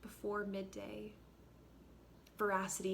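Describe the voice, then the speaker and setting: Vocal fry in a woman's medium-pitched delivery, moving at a moderate pace. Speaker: actor. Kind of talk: staged literary reading.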